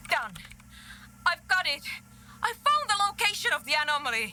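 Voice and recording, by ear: Putting on a character voice, a woman speaks at a moderate pace in an extremely high, bright, sharp tone with big pitch swings.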